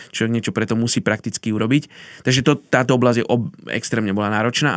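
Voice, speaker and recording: A man with medium pitch and a plain, everyday voice talks at a fairly quick pace with fairly even intonation, on a very clean recording with a silent background and a dry, close sound with no echo. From Slovakia. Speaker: missionary. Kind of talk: interview, personal story.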